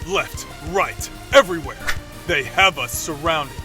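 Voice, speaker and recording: Clear music plays behind a man doing a put-on character voice. His pitch is high. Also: moderate pace. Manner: stern, formal.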